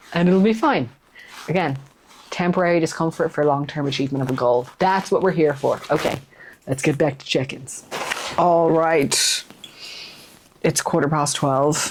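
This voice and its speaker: Over noticeable background noise, a woman speaks at a moderate pace with long, frequent pauses. Her pitch is very deep and low, with ordinary variation. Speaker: fitness coach and bodybuilder. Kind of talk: vlog. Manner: low energy.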